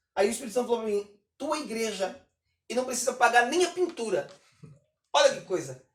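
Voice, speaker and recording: A man talks at an extremely high pitch in an animated tone. His pace is fairly quick, broken by long, frequent pauses. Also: lively intonation. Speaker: pastor and gospel singer. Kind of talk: casual chat.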